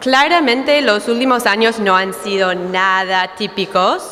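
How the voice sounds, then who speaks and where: There is noticeable background noise and audible room echo around this woman. She speaks at a medium pitch with ordinary pitch variation. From United States. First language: English (speaking Spanish). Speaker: dairy market analyst. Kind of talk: conference talk.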